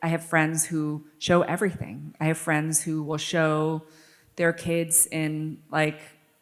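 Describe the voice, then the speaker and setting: A shaky woman's voice with an American accent, fairly low in pitch. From New York City. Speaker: author. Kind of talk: interview.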